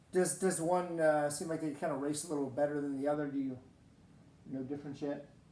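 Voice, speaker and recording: Audible room echo surrounds a man's fairly high voice with a dark, mellow tone. He talks at a fairly quick pace in a monotone, flat intonation. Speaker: gaming video host. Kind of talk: casual gameplay commentary. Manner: loud; hesitant, many fillers.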